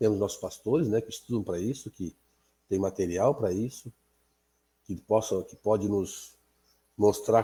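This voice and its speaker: In a very clean recording with a silent background, a man speaks at a fairly low pitch. His tone is dark, mellow and somewhat breathy. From Azores, Portugal. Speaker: Bible class teacher. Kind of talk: prayer; Bible study lesson. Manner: halting.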